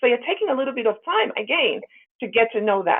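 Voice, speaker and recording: A woman's fairly high voice with an American accent. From Africa, then England. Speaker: diversity and inclusion director. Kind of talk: webinar presentation.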